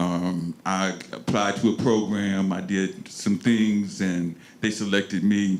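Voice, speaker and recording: This speaker has an American accent and fairly even intonation. The pace is very slow. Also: man, fairly low pitch for a man. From US Midwest, North St. Louis, Missouri. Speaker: alumni panelist. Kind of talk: panel discussion. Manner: halting.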